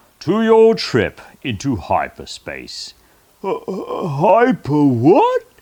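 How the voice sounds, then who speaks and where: At a very slow pace, a man performs a put-on character voice. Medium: read story. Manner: silly, giggly.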